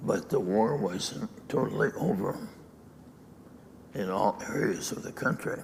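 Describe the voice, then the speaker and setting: There is noticeable background noise as a man speaks at a fairly slow pace, leaving long, frequent pauses. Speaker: dharma teacher. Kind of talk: dharma talk.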